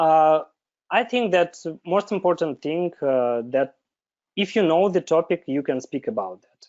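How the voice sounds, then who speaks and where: A man speaks with a high pitch at a fairly slow pace. His intonation is lively, and his loudness swings a lot. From Belarus. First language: Belarusian or Russian. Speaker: software developer. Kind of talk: interview. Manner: halting, many filler sounds.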